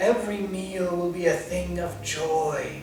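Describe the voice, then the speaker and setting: Whispering in a raspy, put-on character voice, a man speaks at a fairly slow pace over clear background music, with slight echo. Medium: read story. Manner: whispery, coaxing.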